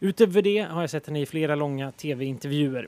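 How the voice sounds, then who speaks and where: This man speaks at a moderate pace with ordinary pitch variation. The sound is dry and close, with no echo. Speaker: journalist. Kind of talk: scripted narration. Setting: aboard a ship.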